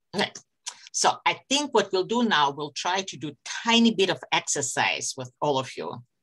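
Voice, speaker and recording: A woman speaks at a moderate pace with a non-native accent and a fairly low pitch. Her pitch swings very widely and her loudness varies greatly. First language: not English. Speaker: psychology lecturer. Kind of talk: online lecture.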